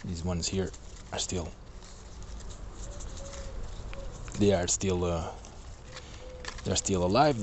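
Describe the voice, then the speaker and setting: A man speaks at a fairly slow pace. The sound is dry with no echo, with light background noise. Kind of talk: casual vlog chat. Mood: calm, mildly concerned. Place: garden. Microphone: phone near.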